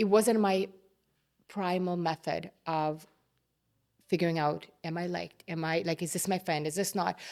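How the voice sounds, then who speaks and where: The very clean recording, with a silent background, holds speech at a moderate pace with fairly even intonation and long, frequent pauses. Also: woman, fairly low pitch for a woman. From immigrant to Canada, grew up partly abroad. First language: not English. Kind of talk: interview conversation.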